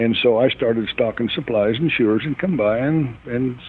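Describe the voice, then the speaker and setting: This man has an unremarkable speaking voice with an American accent. His pitch is medium, with ordinary pitch variation. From central Utah. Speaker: farrier. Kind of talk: interview.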